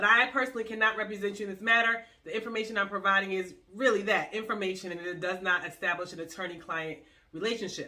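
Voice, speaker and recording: A woman with an American accent talks at a very fast pace in a medium pitch, her tone bright and sharp and her intonation fairly even. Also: big swings in loudness. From US Northeast. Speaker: lawyer. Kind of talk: tutorial.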